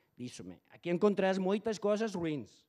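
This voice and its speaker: Against a quiet background, a man with a non-native accent speaks at a moderate pace. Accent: non-native Portuguese, weak. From Spain. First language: Spanish (speaking Portuguese). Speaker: foreign correspondent. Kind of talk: reading aloud a prepared talk. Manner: halting.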